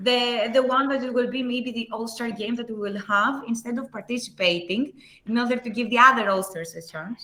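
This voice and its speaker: Amid noticeable background noise, a woman with a Greek accent speaks at a moderate pace with fairly high pitch and ordinary pitch variation. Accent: Greek accent, self-described as horrible. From Greece. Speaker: livestream host. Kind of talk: live stream wrap-up chat. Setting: live stream.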